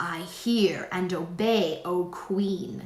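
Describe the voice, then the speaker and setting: A woman does a put-on character voice, growling at a medium pitch. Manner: growling, obedient.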